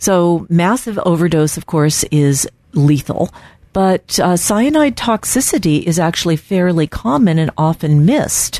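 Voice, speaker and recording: The woman has a plain, everyday voice, pitched fairly low, with lively intonation. She talks at a fairly slow pace. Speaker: radio host and doctor. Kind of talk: educational radio talk with caller Q&A. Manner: informal, explanatory.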